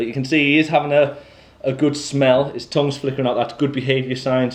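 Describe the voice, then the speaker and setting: A man with a medium pitch speaks at a fairly quick pace with fairly even intonation. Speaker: college animal care lecturer. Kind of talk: practical tutorial. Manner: loud.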